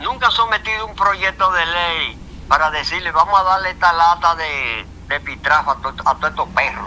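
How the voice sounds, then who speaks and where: A man with a high pitch speaks at a moderate pace with ordinary pitch variation. Noticeable background noise runs under his voice. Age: 70s. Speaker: revolution veteran and historian. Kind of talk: interview testimony.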